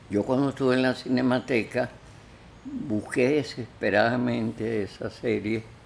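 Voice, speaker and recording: A man's voice with vocal fry, at a very slow pace. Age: 80s+. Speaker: philosopher and film critic. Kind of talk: interview. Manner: halting.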